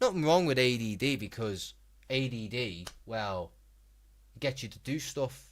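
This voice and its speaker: On a very clean recording with a silent background, a man with a medium pitch speaks at a fairly slow pace with lively intonation and big swings in loudness. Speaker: gaming streamer. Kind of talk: live stream chat and commentary. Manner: slow, unhurried delivery; calm.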